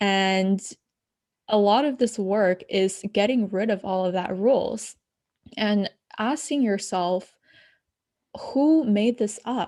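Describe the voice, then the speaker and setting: A woman with a non-native accent speaks very slowly at a medium pitch, with ordinary pitch variation and long, frequent pauses. Her tone is dark and mellow, and the recording is very clean with a silent background. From abroad, moved to the US at ten. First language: not English. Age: young. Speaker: spiritual coach. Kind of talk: podcast interview.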